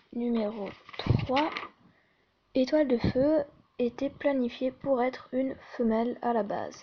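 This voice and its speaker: This soft-spoken voice moves at a very slow pace with fairly even intonation and long, frequent pauses. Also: woman, high pitch for a woman. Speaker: fan video creator. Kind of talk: casual fan trivia list reading. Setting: at home at night, others sleeping.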